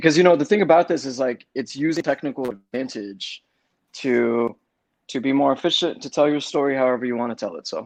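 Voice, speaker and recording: Talking at a fairly quick pace, a man speaks with a fairly high pitch. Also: ordinary pitch variation. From Los Angeles, US (Compton). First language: Spanish. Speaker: casting director. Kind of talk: interview. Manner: halting.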